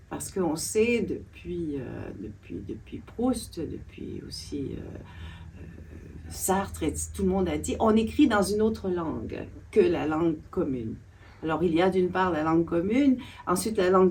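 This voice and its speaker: The speech moves at a fairly slow pace. Audible room echo is present. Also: woman. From Quebec. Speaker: literature scholar and author. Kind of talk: interview discussion. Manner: halting, many hesitations.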